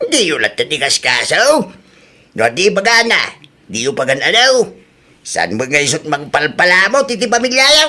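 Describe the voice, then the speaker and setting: Putting on a character voice, a man speaks high for a man, raised and projected, with very wide swings in pitch. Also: moderate pace. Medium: audio drama. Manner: gruff, lecturing.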